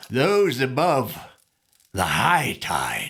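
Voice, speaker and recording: A man performs a put-on character voice. His fairly high pitch swings very widely. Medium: video game. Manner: halting, trailing off mid-sentence.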